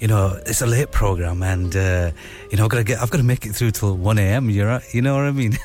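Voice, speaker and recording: Over background music, the voice moves at a very fast pace with ordinary pitch variation. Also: man, fairly low pitch for a man. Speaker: radio host. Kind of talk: radio DJ patter, late-night show host chatting. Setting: studio. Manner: warm, chatty, relaxed, casual, with Urdu/Hindi phrases mixed in and friendly sign-offs.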